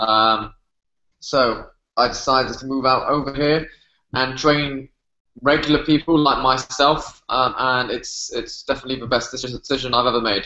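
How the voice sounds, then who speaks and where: A man's medium-pitched voice in a British accent at a moderate pace. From UK. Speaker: fitness trainer. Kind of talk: podcast interview.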